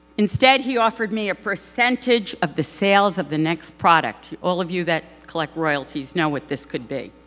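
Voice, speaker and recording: With a New York accent, a woman speaks with lively intonation. She leaves hardly any pauses. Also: medium pitch for a woman, moderate pace. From New York, Brooklyn. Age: 60s. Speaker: advertising producer. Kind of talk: acceptance speech. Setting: stage with audience.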